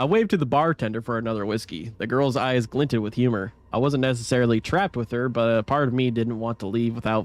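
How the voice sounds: What comes through is a natural reading voice.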